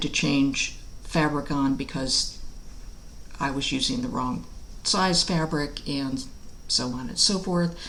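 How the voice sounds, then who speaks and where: With audible room echo around her, a woman talks at a fairly slow pace. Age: 60s. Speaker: cross stitch hobby vlogger. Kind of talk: casual video vlog. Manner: relaxed, with frequent fillers.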